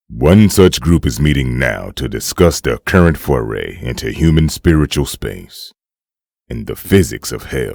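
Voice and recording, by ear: Using a put-on character voice, a man drops to an extremely low pitch with vocal fry and lively intonation. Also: fairly slow pace, slightly mellow tone.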